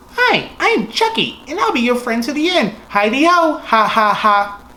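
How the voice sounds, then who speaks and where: A female-sounding voice in a put-on character voice speaks at a moderate pace and high pitch, with light background noise. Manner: gleeful, menacing.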